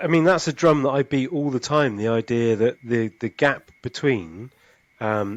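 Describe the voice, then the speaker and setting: A man at a medium pitch with a normal speaking voice, ordinary pitch variation and a moderate pace. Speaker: podcast host. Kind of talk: casual chat.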